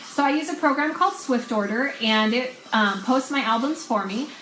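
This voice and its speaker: Lively in intonation and high in pitch, a woman speaks at a fairly quick pace amid noticeable background noise and audible room echo. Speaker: online clothing seller and sales coach. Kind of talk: casual training talk on a live video.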